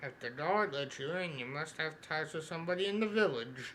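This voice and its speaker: Clear background noise sits behind a man doing a put-on character voice at a fairly high pitch and a fairly quick pace, with ordinary pitch variation. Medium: game stream. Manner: reads on-screen text aloud.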